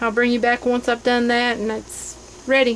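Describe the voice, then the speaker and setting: Noticeable background noise sits behind this voice. A woman speaks at a fairly high pitch. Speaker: home canning and crafts vlogger. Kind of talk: tutorial. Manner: casual, with frequent ums.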